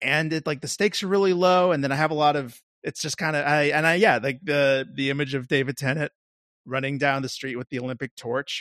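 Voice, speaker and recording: In a dry, close sound with no echo, a man has an unremarkable speaking voice, fairly high in pitch with ordinary pitch variation. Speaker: podcast co-host. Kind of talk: casual chat.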